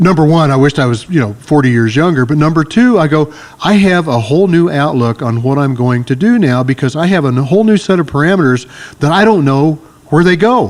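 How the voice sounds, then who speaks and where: A plain, everyday voice moves at a fairly quick pace with lively intonation. Its loudness stays very even throughout. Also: man, fairly high pitch for a man. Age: 60s. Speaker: martial arts instructor. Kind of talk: casual chat.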